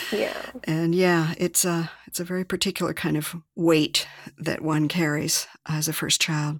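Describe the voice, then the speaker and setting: At a moderate pace comes an ordinary speaking voice on a very clean recording with a silent background. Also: woman. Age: 60s. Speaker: podcast host. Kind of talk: interview.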